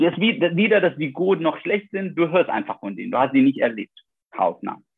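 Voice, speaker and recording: This man's voice is high-pitched. He speaks at a moderate pace. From Iraq. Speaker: doctor, vascular surgeon. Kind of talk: interview.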